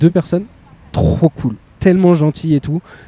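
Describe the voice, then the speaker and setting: There is noticeable background noise behind this man's animated tone. The sound is dry and close, with no echo. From Beauvais, northern France. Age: 30s. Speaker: podcast host. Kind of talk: casual chat. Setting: outdoors.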